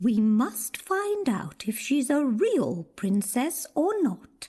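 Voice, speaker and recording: A female-sounding, put-on character voice pitched high swoops through very wide pitch swings. It moves at a very slow pace. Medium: read story.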